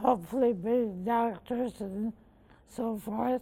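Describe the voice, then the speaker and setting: Intonation holds fairly level throughout. A dark, mellow tone colors the voice. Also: woman. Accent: American. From Northern New York (Massena). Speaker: local philanthropist. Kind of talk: interview conversation.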